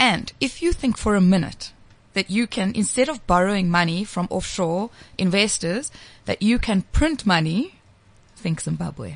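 Against a quiet background, a woman talks at a moderate pace with a medium pitch. Her voice is somewhat breathy, and her intonation is lively. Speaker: financial markets commentator. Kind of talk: radio talk show.

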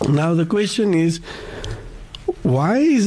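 Over noticeable background noise, the speaker talks at a very slow pace with lively intonation. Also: man. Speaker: radio host. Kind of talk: radio interview. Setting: studio.

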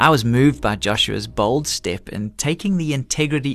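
A man's medium-pitched voice with vocal fry and very wide pitch swings, over a quiet background. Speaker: radio host. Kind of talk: scripted closing remarks.

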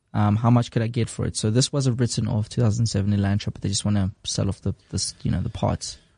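A man speaks very fast with hardly any pauses, at a fairly low pitch with fairly even intonation. His tone is dark, mellow and somewhat breathy, with a dry, close sound and no echo. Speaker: podcast co-host. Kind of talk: casual chat. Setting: studio.

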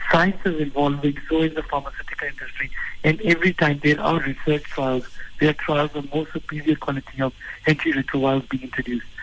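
A man talking very fast at a fairly high pitch over noticeable background noise. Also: fairly even intonation. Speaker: health organisation CEO. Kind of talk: radio interview.

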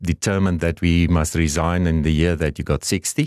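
Over a quiet background, a man speaks at a very deep, low pitch. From Namibia (south). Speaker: car dealership executive. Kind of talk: interview.

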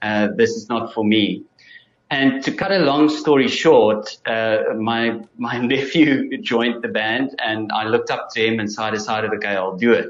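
A man speaks with a South African accent at a moderate pace. His pitch is medium, with ordinary variation. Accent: Afrikaans South African English. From South Africa, Free State (Bloemfontein). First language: Afrikaans. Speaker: musician and audiologist. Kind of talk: interview.

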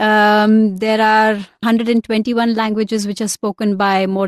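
A woman's medium-pitched, plain, everyday voice at a moderate pace, with fairly even intonation and a dry, close sound with no echo. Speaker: broadcast journalist. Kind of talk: interview.

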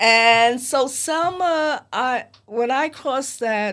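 This is a woman speaking with a New York accent. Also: very clean recording, silent background. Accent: American, New York. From US, New York (Harlem). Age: 80s+. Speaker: memoir author, former Playboy bunny. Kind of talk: interview. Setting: studio.

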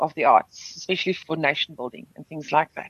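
A woman with lively intonation, recorded in a dry, close sound with no echo. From South Africa, Overberg near Cape Town. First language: Afrikaans. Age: middle-aged. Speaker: singer. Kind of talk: radio interview. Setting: radio studio.

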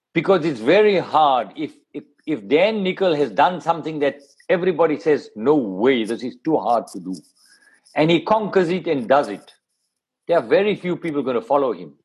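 A man speaks at a moderate pace with a fairly high pitch and vocal fry. His pitch swings very widely. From South Africa. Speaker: media executive. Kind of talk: interview.

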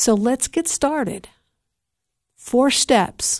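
Behind a woman's voice, the background stays quiet. Her pitch varies in an ordinary way. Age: 60s. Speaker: recovery podcast host. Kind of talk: faith-based talk on addiction recovery. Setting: solo podcast recording. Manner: halting, with frequent fillers.

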